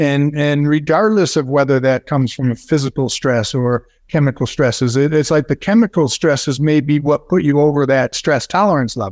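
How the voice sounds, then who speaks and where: Speaking at a fairly quick pace with hardly any pauses, a man keeps his loudness very even. His pitch is fairly high with ordinary variation, and the sound is dry and close with no echo. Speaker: musculoskeletal therapist. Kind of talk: expert interview. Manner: halting, many fillers.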